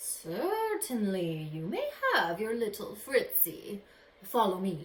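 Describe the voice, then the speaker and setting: Putting on a growling character voice at a medium pitch, a woman speaks at a fairly slow pace. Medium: read story. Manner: theatrical, menacing.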